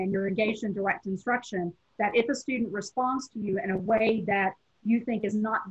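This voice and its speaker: In a strong Southern US accent, a woman speaks somewhat breathily at a moderate pace, her fairly high voice keeping a fairly even intonation. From US South, Tennessee. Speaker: professor. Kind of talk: lecture.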